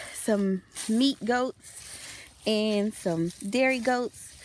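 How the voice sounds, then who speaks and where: An American accent at very even loudness, with ordinary pitch variation, over noticeable background noise. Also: woman. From US Midwest, Chicago. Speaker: vlogger, homesteader. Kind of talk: casual vlog walkthrough. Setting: outdoors.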